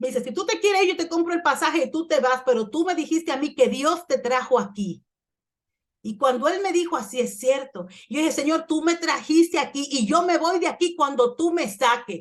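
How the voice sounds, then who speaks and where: Her intonation is lively as the woman speaks high at a moderate pace. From Dominican Republic. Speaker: pastor. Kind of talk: sermon. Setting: church.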